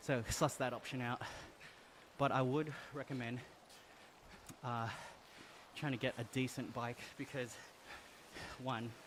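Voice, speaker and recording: With an Australian accent, a man speaks at a medium pitch in monotone, flat intonation. His pace is fairly slow, with long, frequent pauses. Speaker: gaming streamer. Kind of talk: live stream chat while cycling. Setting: indoor trainer with fan behind, switched off.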